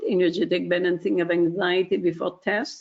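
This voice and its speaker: A woman's medium-pitched voice at a moderate pace. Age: 60s. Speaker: webinar presenter. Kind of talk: product webinar presentation. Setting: online webinar. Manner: hesitant, many fillers.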